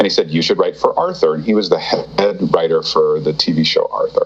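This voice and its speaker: A man speaks over noticeable background noise. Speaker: TV writer and voice actor. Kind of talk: interview. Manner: halting.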